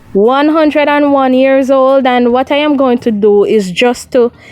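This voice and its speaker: A woman speaks at a fairly slow pace with lively intonation. Noticeable background noise runs under her voice. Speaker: video blogger interviewer. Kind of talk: casual interview.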